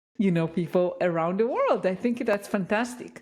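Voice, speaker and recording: A woman's medium-pitched voice with lively intonation and a non-native accent. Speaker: podcast host. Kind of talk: interview conversation.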